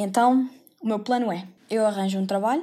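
A woman's dark, mellow voice with ordinary pitch variation, on a very clean recording with a silent background. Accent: European Portuguese. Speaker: podcaster, university student. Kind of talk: casual monologue. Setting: bedroom.

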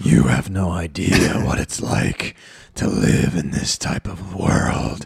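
A man puts on a growling character voice with a very deep, low pitch and lively intonation. He goes at a fairly slow pace. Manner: menacing, sinister.

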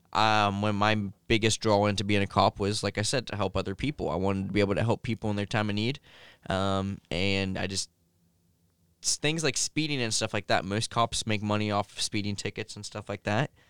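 In a Midwestern American accent, a man speaks fairly quickly at a fairly low pitch with fairly even intonation. The recording is very clean, dry and close, with no echo and a silent background. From Ohio, Logan. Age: 20s. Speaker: gamer and streamer. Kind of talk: casual chat. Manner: hesitant, many fillers.

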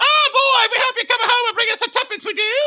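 A put-on character voice shouting at an extremely high pitch in a Cockney accent. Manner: exaggerated, comical.

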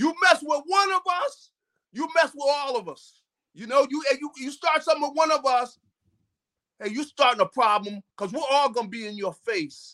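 A man speaks in a raised, projected voice at an extremely high pitch, with a bright, sharp tone. His intonation is lively and his loudness swings widely. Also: moderate pace. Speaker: football analyst. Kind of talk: casual sports analysis chat.

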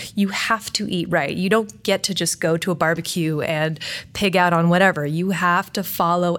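A woman speaks at a medium pitch with ordinary pitch variation. The recording is very clean, with a silent background. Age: 30s. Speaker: fitness coach and editor, show co-host. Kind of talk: casual chat. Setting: studio. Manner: fast; animated.

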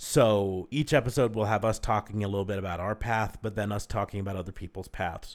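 With a plain, everyday voice, a man talks at a fairly low pitch with fairly even intonation and hardly any pauses. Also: fairly quick pace, very clean recording, silent background. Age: 40s. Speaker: podcast host. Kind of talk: casual chat.

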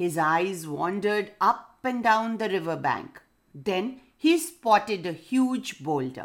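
Someone does a plain reading aloud, the intonation rising and falling in a lively way.

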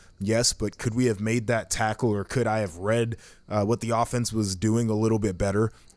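This man has an ordinary speaking voice at medium pitch, moving at a fairly quick pace with fairly even intonation on a very clean recording with a silent background. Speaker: former college football player. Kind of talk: casual chat.

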